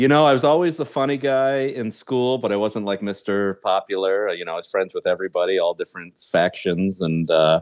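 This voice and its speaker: With an ordinary speaking voice, a man talks at a moderate pace, fairly low in pitch and with lively intonation. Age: 40s. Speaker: stand-up comedian and show producer. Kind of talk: casual interview chat.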